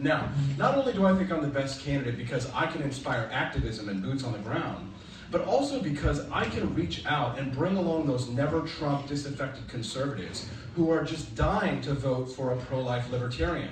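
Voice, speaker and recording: Talking at a fairly quick pace with an American accent, a man with a fairly high pitch and ordinary pitch variation is heard over noticeable background noise and audible room echo. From US Midwest, Missouri. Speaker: presidential candidate. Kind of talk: debate speech.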